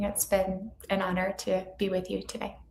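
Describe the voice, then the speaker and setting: Speaking at a moderate pace and medium pitch, a woman with an American accent is heard over noticeable background noise. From US Midwest, Illinois. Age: 30s. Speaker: therapist. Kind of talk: interview. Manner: gentle, reassuring.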